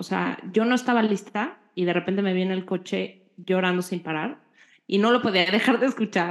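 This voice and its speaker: Moderately paced, medium-pitched speech from a woman with a normal speaking voice, her pitch varying in an ordinary way. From Mexico. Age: 40s. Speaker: podcast co-host. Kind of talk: casual chat.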